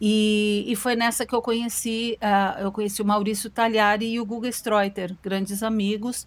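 In a very clean recording with a silent background, a woman with a fairly high voice speaks at a moderate pace in a flat monotone. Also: hardly any pauses. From Brazil. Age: 50s. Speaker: singer. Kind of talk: interview. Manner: halting.

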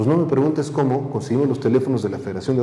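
Over noticeable background noise and audible room echo, a man speaks at a medium pitch. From Mexico City area. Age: 40s. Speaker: tourism entrepreneur. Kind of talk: interview.

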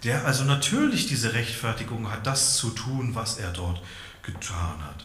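Through noticeable background noise, a man talks at a fairly slow pace. His medium pitch carries lively intonation. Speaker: preacher. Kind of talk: sermon. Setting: church.

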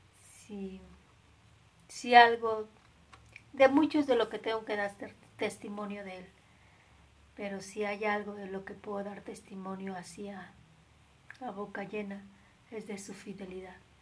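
A woman speaks at a medium pitch and a fairly slow pace, with fairly even intonation and long, frequent pauses. Her loudness swings widely, and there is noticeable background noise. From Mexico. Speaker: nun. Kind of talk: spiritual reflection livestream. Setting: live stream.

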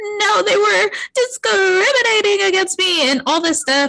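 The speaker uses a whiny, put-on character voice. The pace is moderate. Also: woman, extremely high pitch for a woman. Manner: whiny, tearful, entitled.

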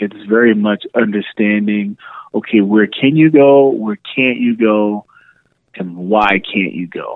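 Very slowly, a man with an American accent speaks at a fairly low pitch with ordinary pitch variation. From New York City. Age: 30s. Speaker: podcaster. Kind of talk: casual chat.

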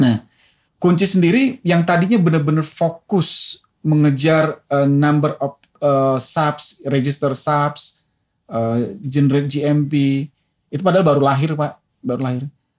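At a fairly slow pace, a man with an unremarkable speaking voice talks at a fairly high pitch, varying it in an ordinary way. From Indonesia, Medan (Deli Tua), North Sumatra. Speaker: telecom executive. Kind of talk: interview.

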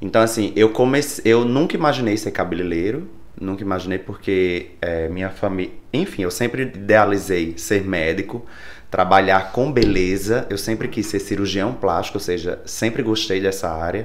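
The pitch variation is ordinary. There is audible echo from the room. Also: man, fairly low pitch for a man, moderate pace. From Brazil, Rio Grande do Norte interior (Caicó). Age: 30s. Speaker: hairdresser and salon owner. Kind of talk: interview.

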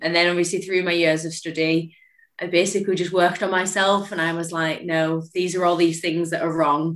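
A woman with a Cumbrian accent, fairly low in pitch, at a fairly quick pace and in a monotone, flat intonation. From northern England, Cumbria. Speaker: physiotherapist. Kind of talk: casual chat.

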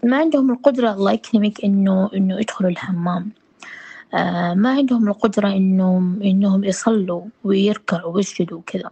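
In a Hejazi accent, a somewhat breathy woman talks at a moderate pace and a medium pitch with ordinary pitch variation. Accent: Hejazi Saudi Arabic. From Saudi Arabia, Jeddah (Hejaz). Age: 30s. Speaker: visually impaired trainer and guest. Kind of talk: interview.

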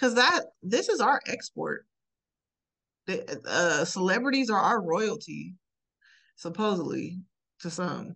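A woman speaks at a very slow pace, broken by long, frequent pauses. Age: 30s. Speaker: podcast co-host. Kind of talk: casual chat.

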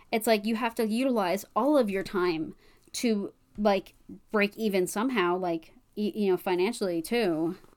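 On a very clean recording with a silent background, a woman at medium pitch uses an unremarkable speaking voice, ordinary pitch variation and a moderate pace. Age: 20s. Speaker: podcast co-host. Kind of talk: casual chat.

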